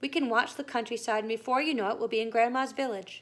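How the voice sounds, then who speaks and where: A put-on character voice, female-sounding at a fairly high pitch and very fast pace, on a very clean recording with a silent background. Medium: read story. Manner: calm, reassuring.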